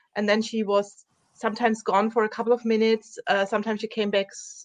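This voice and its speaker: Speaking with a German accent, a woman talks at a fairly high pitch and a fairly quick pace. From Germany. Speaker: dog trainer. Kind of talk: interview.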